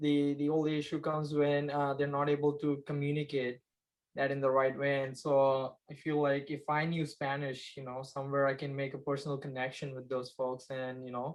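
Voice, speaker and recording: A man with a Gujarati accent speaks at a moderate pace. His fairly high voice has a monotone, flat intonation. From India, Maharashtra. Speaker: construction project manager. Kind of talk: interview. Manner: hesitant, many fillers.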